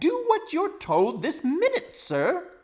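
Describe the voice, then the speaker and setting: A man puts on a character voice at an extremely high pitch. He delivers it at a fairly slow pace. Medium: read story. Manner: pompous, blustering.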